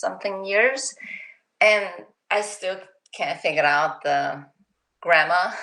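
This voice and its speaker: A woman's medium-pitched voice with a non-native accent, fairly slow delivery and very wide pitch swings. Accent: foreign. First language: not English. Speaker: author. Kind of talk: interview.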